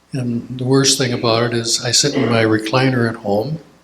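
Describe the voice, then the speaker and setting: At a moderate pace, the speaker talks in an Upper Midwest accent with monotone, flat intonation. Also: man. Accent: Upper Midwest American. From Minnesota. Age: 80s+. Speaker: church elder sharing memories. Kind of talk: casual Q&A talk. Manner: halting.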